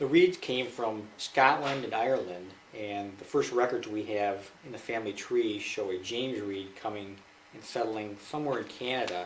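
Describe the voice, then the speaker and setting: Amid noticeable background noise and audible room echo, the speaker uses a Midwestern American accent at a moderate pace, with ordinary pitch variation and big swings in loudness. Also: man, medium pitch for a man. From Michigan, US. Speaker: interviewee, father. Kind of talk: family interview.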